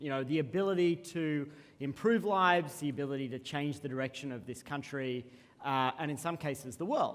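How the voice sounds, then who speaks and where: A man with an Australian accent, fairly high-pitched, at a fairly quick pace with ordinary pitch variation. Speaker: keynote speaker, social movement CEO. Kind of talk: keynote talk. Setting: stage with audience. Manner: some filler ums.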